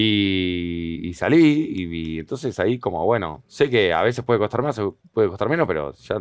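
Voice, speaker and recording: With a fairly low voice that swings very widely in pitch, a man speaks at a moderate pace, the sound dry with no echo and the background quiet. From Argentina, moved around Patagonia, Bolivia; Argentina. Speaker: comedian. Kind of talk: interview conversation. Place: studio. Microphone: headset.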